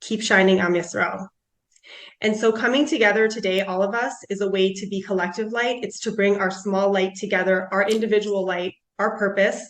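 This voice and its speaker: Speaking at a fairly quick pace, a woman with an American accent keeps a medium pitch and fairly even intonation. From US Midwest. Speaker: panelist, clinical nutritionist. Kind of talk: panel talk.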